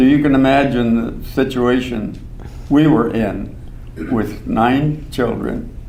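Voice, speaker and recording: A man with an American accent speaks at a fairly slow pace and medium pitch with fairly even intonation, amid noticeable background noise and audible room echo. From southern Minnesota. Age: 80s+. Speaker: retired professor. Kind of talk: oral history interview. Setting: stage with audience. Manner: halting.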